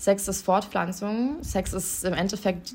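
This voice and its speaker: Noticeable background noise accompanies a woman speaking at medium pitch with fairly even intonation. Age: 20s. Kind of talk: interview.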